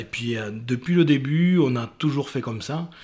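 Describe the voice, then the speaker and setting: Using a normal speaking voice, a man talks with ordinary pitch variation at a moderate pace. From Casteljaloux, Lot-et-Garonne. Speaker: lifelong friend, festival-goer. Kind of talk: interview storytelling.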